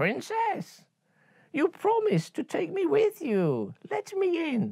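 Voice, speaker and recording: A put-on character voice, squeaky and creaky, goes along at a fairly slow pace. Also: man, extremely high pitch for a man. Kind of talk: bedtime story. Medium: read story.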